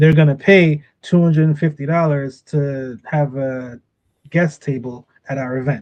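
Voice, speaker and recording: A man's fairly high-pitched, normal speaking voice, fairly slow in pace, with fairly even intonation. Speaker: business trainer. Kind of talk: training session.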